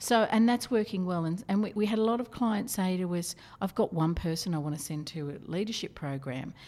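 A woman with an Australian accent talks fairly quickly at a medium pitch, her tone dark and mellow and her intonation lively. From Australia, Newcastle NSW. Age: 50s. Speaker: corporate trainer. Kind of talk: interview.

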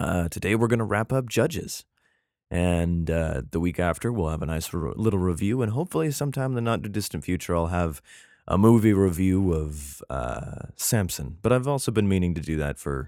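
Speaking quietly at a fairly quick pace, a man with a very deep, low pitch and a dark, mellow tone uses lively intonation on a very clean recording with a silent background. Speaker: podcast host. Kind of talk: casual chat. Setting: at home, early morning. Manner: quiet, subdued; casual, filler-heavy.

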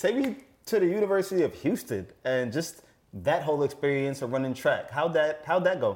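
A man with a New York accent and a fairly high pitch talks at a fairly quick pace in an animated, upbeat tone with lively intonation, over noticeable background noise. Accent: New York American. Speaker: sports podcast host. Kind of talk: casual interview.

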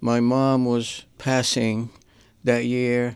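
On a very clean recording with a silent background, a man of medium pitch speaks very slowly in a monotone, flat way with a strong Syrian accent. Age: 80s. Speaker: visual artist. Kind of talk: radio interview. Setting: studio.

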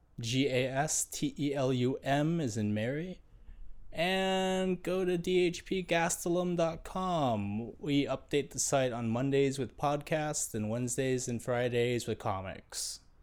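A man with an unremarkable speaking voice and a fairly high pitch uses lively intonation in a very clean recording with a silent background. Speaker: podcast co-host. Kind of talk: casual chat. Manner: joking, sarcastic.

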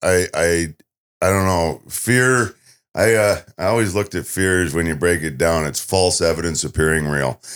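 Very deep and low, a man's voice moves at a moderate pace with ordinary pitch variation. The recording is very clean, with a silent background. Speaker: survival show contestant. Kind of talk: radio interview. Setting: radio studio.

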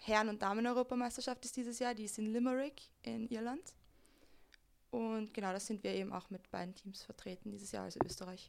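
A normal speaking voice from a woman, fairly high-pitched, with fairly even intonation. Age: 20s. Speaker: flag football player and youth coach. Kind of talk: interview.

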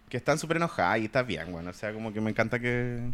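A man speaks with a Chilean accent at a medium pitch. His pitch swings very widely. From Chile, Puente Alto (Santiago). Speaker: podcast co-host. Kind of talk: casual chat.

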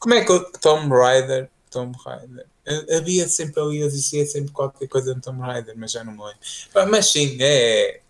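A fairly high-pitched man at a fairly slow pace, lively intonation and big swings in loudness. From Portugal, Trás-os-Montes area. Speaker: video game industry guest. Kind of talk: casual chat.

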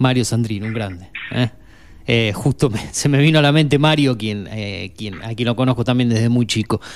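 With an Argentine accent, a man speaks at a moderate pace and medium pitch with ordinary pitch variation. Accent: Argentine Spanish (Rioplatense). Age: 40s. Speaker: radio host. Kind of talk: radio show hosting. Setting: studio.

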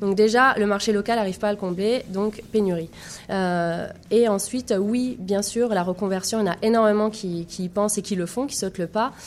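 This woman has an ordinary speaking voice with a medium pitch. She talks at a moderate pace with fairly even intonation. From France. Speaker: tech entrepreneur, founder. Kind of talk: radio interview.

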